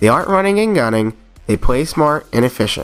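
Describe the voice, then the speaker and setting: A man's voice makes very wide pitch swings, with music in the background. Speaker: aspiring mobile esports gamer. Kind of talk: gaming tutorial narration.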